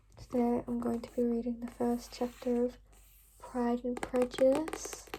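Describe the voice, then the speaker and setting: A woman's high-pitched voice at a fairly slow pace, ordinary pitch variation and noticeable background noise. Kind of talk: ASMR reading and book tapping. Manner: whispered, soft-spoken.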